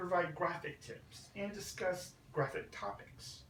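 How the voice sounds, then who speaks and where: A man speaks at a very slow pace in a high voice. Noticeable noise sits in the background. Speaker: graphic designer. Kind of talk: live presentation to an audience. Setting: recorded through a Bluetooth headset.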